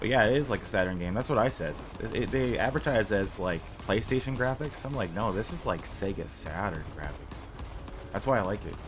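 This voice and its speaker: This man has a fairly low pitch and lively intonation. He speaks at a fairly quick pace over noticeable background noise. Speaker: video game streamer. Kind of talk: casual live stream chat. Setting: live stream at a small portable desk.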